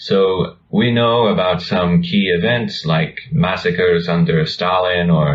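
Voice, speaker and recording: A man with an American accent is speaking. There is noticeable background noise. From United States. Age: young. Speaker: video channel co-host. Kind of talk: conversational discussion.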